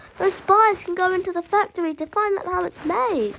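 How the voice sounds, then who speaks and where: Using a squeaky put-on character voice at extremely high pitch, a woman talks at a fairly quick pace. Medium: read story. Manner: soft, confiding.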